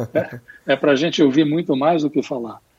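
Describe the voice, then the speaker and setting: The speaker is a man. His voice is fairly high-pitched. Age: 60s. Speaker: business consultant. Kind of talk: interview. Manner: halting.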